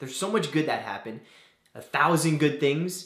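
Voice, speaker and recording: A man's voice with audible room echo. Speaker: vlogger giving advice. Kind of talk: casual advice vlog. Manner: soft-spoken.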